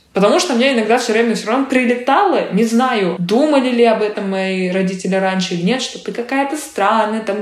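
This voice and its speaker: A woman with a fairly high pitch speaks at a fairly quick pace. Her pitch varies in an ordinary way, and background noise is noticeable. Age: 20s. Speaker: actress and blogger. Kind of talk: interview.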